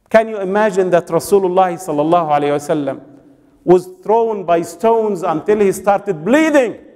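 Over a quiet background, a man with an Arabic accent speaks at a fairly quick pace in a high voice. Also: ordinary pitch variation. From Egypt. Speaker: preacher. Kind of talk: sermon. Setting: mosque with congregation. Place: hall. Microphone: podium.

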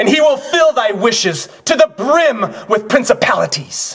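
A man's put-on character voice, extremely high-pitched for a man, with a fairly bright tone, a slightly husky edge, big pitch swings and a fairly slow pace.

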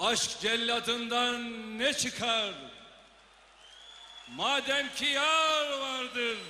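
A man with an extremely high pitch uses a raised, projected voice at a very slow pace, with long, frequent pauses and fairly even intonation. Noticeable background noise is present. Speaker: politician reciting a poem at a party congress. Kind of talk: poetry reading. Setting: congress hall, public speech.

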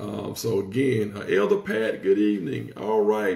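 A man talks at a moderate pace. There is audible room echo against a quiet background. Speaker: pastor. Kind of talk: livestream greeting before Bible study. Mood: warm, upbeat. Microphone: phone near.

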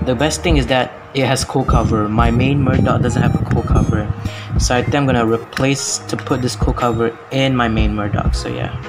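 A man talks at a moderate pace. Clear music can be heard behind him. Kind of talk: casual haul review. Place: home room. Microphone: phone near.

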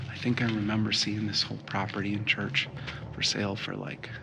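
There is noticeable background noise. Over it, a man speaks at a moderate pace. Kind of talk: casual vlog chat. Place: church. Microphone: phone near.

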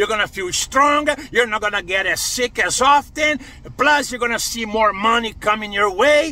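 A man speaks in a raised, projected voice at a moderate pace, the sound dry with no echo. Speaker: online preacher. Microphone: phone near.

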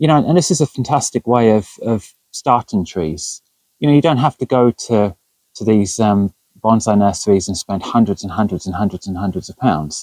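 Over a quiet background, a man speaks at a moderate pace in a dark, mellow tone, the sound dry with no echo. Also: fairly low pitch for a man. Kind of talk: casual vlog chat. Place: garden.

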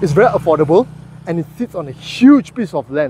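Over light background noise, a man talks at a very fast pace in a dry recording with no echo. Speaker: property reviewer. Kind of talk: casual vlog commentary. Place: street. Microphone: phone near.

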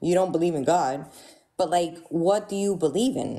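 A woman speaks in a fairly low pitch with a dark, mellow tone. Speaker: caller; livestream host. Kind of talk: debate. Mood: questioning, challenging. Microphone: studio mic.

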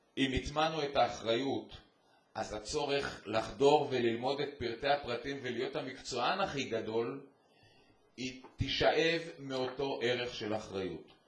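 At a fairly slow pace, a man speaks at a medium pitch with ordinary pitch variation amid audible room echo. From Israel. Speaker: army general; educator speaking at a conference. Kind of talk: panel talk.

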